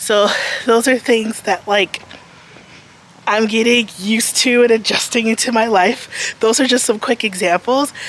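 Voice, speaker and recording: A woman with an American accent at a fairly slow pace, with very even loudness and fairly even intonation, over noticeable background noise. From United States. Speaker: lifestyle vlogger. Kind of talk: vlog, casual talk to camera. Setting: outdoors, walking on the street. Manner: casual, filler-heavy (um, like).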